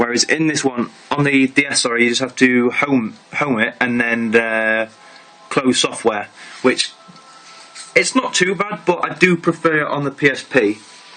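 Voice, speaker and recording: At a moderate pace and with long, frequent pauses, a man talks in a medium pitch with ordinary pitch variation while music plays in the background. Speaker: gaming youtuber. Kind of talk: video review and gameplay demo. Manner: halting, stumbling over words.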